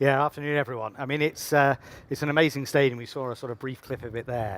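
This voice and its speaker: In an English accent, the speaker moves at a very fast pace with fairly even intonation. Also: man. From England. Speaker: football club president. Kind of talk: panel interview.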